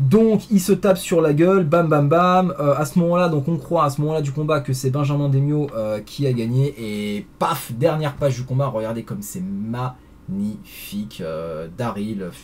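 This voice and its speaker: Somewhat breathy, a man speaks at a fairly slow pace with fairly high pitch and very wide pitch swings. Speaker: comics reviewer. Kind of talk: video review. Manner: hesitant, many fillers.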